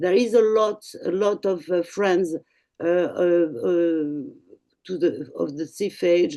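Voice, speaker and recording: With a French accent, a woman speaks at a very slow pace in a dark, mellow tone with ordinary pitch variation. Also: fairly low pitch for a woman. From France. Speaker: communication agency head. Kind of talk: speech at online meeting. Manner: halting.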